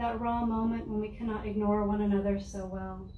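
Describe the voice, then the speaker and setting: We hear a woman talking in a room with audible echo. There is noticeable background noise too. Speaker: poet. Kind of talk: poetry reading.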